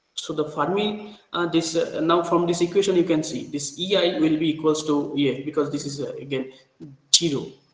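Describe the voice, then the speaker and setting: There's audible room echo around a man speaking with a fairly high pitch. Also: fairly even intonation. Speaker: university lecturer. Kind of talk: lecture. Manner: slow; halting, many fillers.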